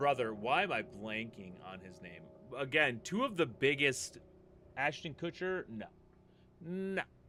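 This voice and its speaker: A man with an American accent speaks at a fairly slow pace and medium pitch, with long, frequent pauses. His bright, sharp tone carries very wide pitch swings and big swings in loudness. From US Upper Midwest, Minnesota. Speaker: gaming streamer. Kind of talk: live game stream chat.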